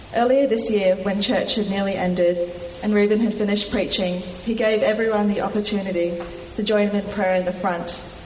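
A woman with an Australian accent, medium pitch, fairly even intonation and a fairly quick pace over noticeable background noise. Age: young. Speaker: church member giving testimony. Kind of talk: testimony read from prepared text. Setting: church with congregation, microphone.

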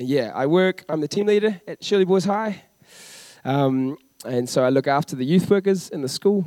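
Fairly high in pitch, a man with a New Zealand accent has a dark, mellow tone, recorded dry and close with no echo. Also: lively intonation, moderate pace. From New Zealand, Christchurch. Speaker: youth worker. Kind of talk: church interview. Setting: church stage with congregation.

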